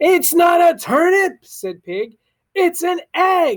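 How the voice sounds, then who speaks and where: An extremely high-pitched, loud put-on character voice is heard. It speaks at a very slow pace. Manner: loud, upset, forceful.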